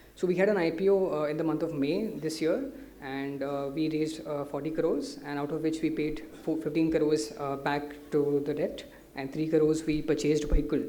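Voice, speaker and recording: A man talks at a fairly quick pace in a fairly high, flat monotone, with audible room echo and noticeable background noise. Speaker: company director presenting to investors. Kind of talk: investor presentation. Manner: fast.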